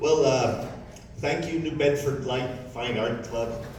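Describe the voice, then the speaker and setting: A man with an American accent talks at a fairly slow pace. Noticeable background noise and audible room echo surround him. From Pittsburgh, Pennsylvania. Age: 60s. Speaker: artist. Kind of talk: artist talk. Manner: loud; halting.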